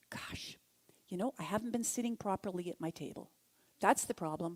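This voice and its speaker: In an ordinary speaking voice, the speaker goes at a fairly quick pace with ordinary pitch variation, and the sound is dry and close with no echo. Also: woman, medium pitch for a woman. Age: 60s. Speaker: speaker at a spiritual center, therapist. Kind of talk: sermon-style talk. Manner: conversational.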